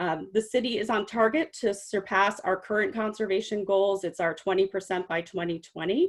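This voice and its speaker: Barely pausing, a woman talks at a medium pitch with ordinary pitch variation. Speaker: city water conservation staff. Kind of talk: webinar presentation. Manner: fast.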